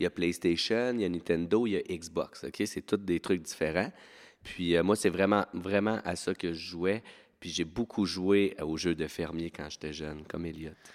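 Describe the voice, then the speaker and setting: On a very clean recording with a silent background, a man with a very deep, low pitch speaks fairly slowly with ordinary pitch variation. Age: 30s. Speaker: teacher. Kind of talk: casual chat. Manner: animated.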